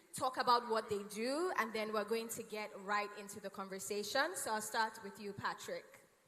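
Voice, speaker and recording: Animated female voice at a moderate pace, fairly high in pitch, with audible room echo and noticeable background noise. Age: 30s. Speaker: panel moderator. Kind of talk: panel discussion moderation. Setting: stage with audience.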